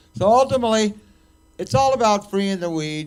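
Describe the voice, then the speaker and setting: A man's pitch swings very widely, with audible room echo around him. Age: 60s. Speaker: cannabis activist. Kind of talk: casual chat. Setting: stage with audience. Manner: rambling, animated.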